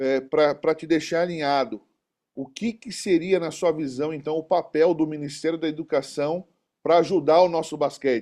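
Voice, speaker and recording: Dark, mellow male voice with fairly even intonation against a quiet background. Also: fairly high pitch for a man, moderate pace. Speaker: basketball community host, physical education teacher. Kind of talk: interview.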